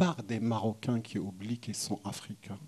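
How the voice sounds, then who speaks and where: A somewhat breathy voice with a dark, mellow tone speaks in a Moroccan accent. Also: man. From southern Morocco, oasis region. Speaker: visual artist. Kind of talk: panel conversation. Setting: gallery event with audience. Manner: halting, many restarts.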